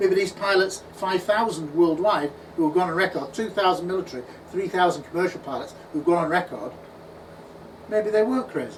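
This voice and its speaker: A man with an English accent speaks at a fairly quick pace, his high pitch showing ordinary variation. Room echo is audible, and background noise is noticeable. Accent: English accent, noticeable to US networks. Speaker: UFO researcher and conference speaker. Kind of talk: conference talk Q&A. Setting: conference at a pub venue with audience. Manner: animated.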